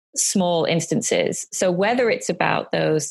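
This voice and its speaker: A woman speaks with a British accent. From United Kingdom. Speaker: life coach and entrepreneur. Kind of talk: interview answer.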